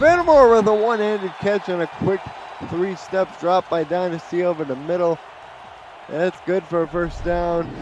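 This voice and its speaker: With a Boston accent and an excited tone, a man with a high pitch speaks at a moderate pace with ordinary pitch variation over noticeable background noise. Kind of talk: sports announcer. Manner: excited sports play-by-play commentary.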